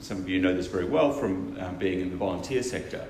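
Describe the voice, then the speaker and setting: Noticeable background noise runs under speech in an Australian accent. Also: man. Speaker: non-profit co-founder and researcher. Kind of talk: conference keynote speech.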